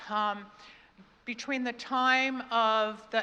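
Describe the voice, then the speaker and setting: A woman speaks with a fairly high pitch and monotone, flat intonation. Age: 70s. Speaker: keynote speaker, spiritual coach and radio host. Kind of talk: keynote speech. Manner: conversational with frequent fillers.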